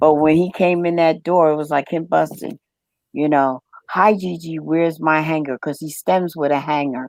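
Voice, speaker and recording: A woman with a very deep, low pitch and an American accent, her intonation fairly even. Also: moderate pace, quiet background. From New York, Brooklyn. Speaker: live stream host. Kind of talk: casual chat. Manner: loud.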